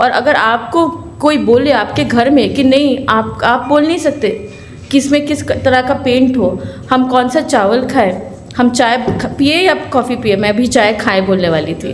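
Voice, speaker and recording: A woman with a Bengali accent speaks at a high pitch with ordinary pitch variation. Noticeable background noise and audible room echo are present. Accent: Bengali-accented Hindi. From Kolkata, West Bengal, India. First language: Bengali (speaking Hindi). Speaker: lawyer and human rights activist. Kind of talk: symposium speech.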